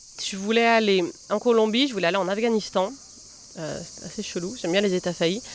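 A woman speaks at a medium pitch with ordinary pitch variation over noticeable background noise. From southern France (Massif central, Lozère). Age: 30s. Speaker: journalist and novelist. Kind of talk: casual interview. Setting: outdoors in a botanical garden.

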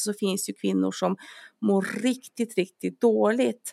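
Delivered fairly slowly, the voice has a dry, close sound without any echo. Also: woman. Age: 40s. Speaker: dentist and personal trainer. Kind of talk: casual chat.

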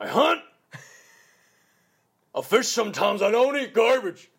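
A man's put-on character voice, pitched extremely high. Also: moderate pace. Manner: terse, haunted.

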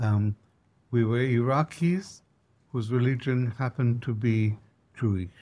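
On a very clean recording with a silent background, a man with a dark, mellow tone and medium pitch speaks fairly slowly with ordinary pitch variation and long, frequent pauses. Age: 70s. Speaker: historian and professor. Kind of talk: interview. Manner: hesitant, many fillers.

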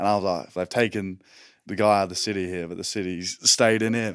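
In a very clean recording with a silent background, a man with an Australian accent speaks at a moderate pace in a fairly low voice with ordinary pitch variation. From Western Australia, rural coastal town. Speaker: rugby player. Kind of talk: casual chat.

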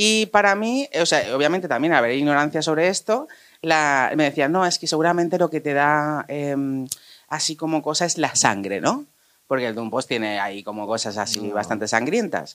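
The pace is moderate throughout. Behind the voice there is only silence, and the recording is very clean. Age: 30s. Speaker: audience member. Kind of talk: casual chat.

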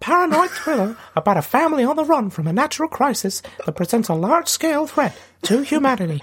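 Putting on a squeaky character voice, a man talks at a very fast pace with an extremely high pitch.

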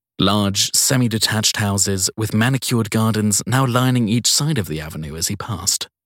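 A man's fairly low, fairly bright voice with ordinary pitch variation at a moderate pace, dry and close with no echo, in a very clean recording with a silent background

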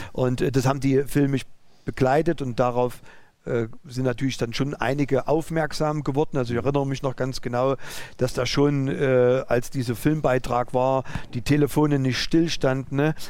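The speech moves at a moderate pace with a monotone, flat intonation. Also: man, medium pitch for a man. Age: 50s. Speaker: driving school owner and entrepreneur. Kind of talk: interview. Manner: halting.

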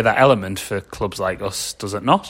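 Ordinary pitch variation and a moderate pace mark a man with an unremarkable speaking voice. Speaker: podcast host. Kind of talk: casual banter, football podcast.

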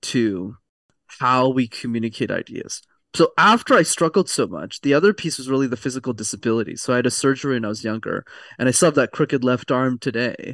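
A man has a plain, everyday voice with a Canadian accent, at medium pitch with ordinary pitch variation. The sound is dry and close with no echo, over a quiet background. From Quebec, Montreal. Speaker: communication coach. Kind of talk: casual interview.

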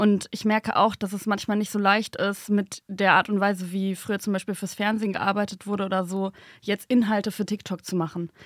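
A woman of medium pitch speaks at a moderate pace in a monotone, flat intonation, in a very clean recording with a silent background and a dry, close sound with no echo. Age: 20s. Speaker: journalist and video creator. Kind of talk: casual chat.

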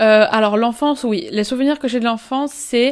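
Fairly high in pitch and at a fairly quick pace, a woman speaks in a plain, everyday voice with ordinary pitch variation. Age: 20s. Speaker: life coach. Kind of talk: interview.

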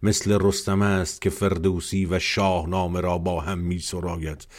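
His voice very deep and low, a man talks in a flat monotone over a silent background on a very clean recording. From Iran. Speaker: podcast host. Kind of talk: poetry reading aloud.

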